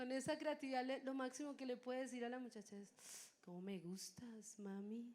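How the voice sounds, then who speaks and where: Speaking at a moderate pace with hardly any pauses, a woman uses a high pitch, ordinary pitch variation and an animated tone. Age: 20s. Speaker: preacher. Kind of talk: sermon.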